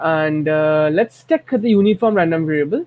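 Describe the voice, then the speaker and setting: With an Indian accent, a man speaks at a high pitch with ordinary pitch variation. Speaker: math and statistics tutor. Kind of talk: tutorial. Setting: recorded at home at midnight. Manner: soft-spoken; halting.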